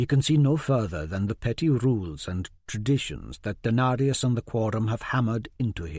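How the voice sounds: The pitch varies in an ordinary way in this natural reading voice.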